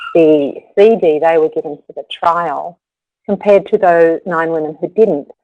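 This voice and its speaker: Dry and close with no echo, a woman's voice comes through in an Australian accent at a fairly slow pace. Her pitch is fairly low, with ordinary variation. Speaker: yoga therapist. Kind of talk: webinar presentation. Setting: webinar.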